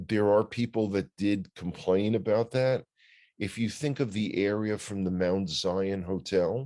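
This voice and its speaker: A man with a New York accent talks at a fairly slow pace, his pitch fairly low and its variation ordinary. His tone is dark and mellow, and the recording is very clean with a silent background. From US Northeast, New York City (Bronx). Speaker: news commentator. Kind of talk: casual chat. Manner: halting.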